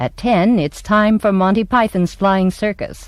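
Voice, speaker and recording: Speaking in an American accent, a woman has a plain, everyday voice. Her pitch is medium and her pace moderate. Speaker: voice-over performer and speech teacher; stage actress. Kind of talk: TV station programming announcement.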